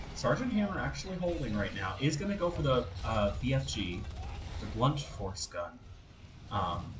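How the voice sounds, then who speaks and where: Soft-spoken and medium-pitched, a man talks at a moderate pace with very wide pitch swings, audible room echo and noticeable background noise. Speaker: esports caster. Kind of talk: live commentary. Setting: live stream.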